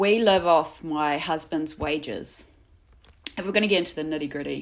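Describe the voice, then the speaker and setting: A woman's very deep, low voice with a New Zealand accent and ordinary pitch variation. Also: very clean recording, silent background. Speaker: artist. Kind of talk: casual interview chat.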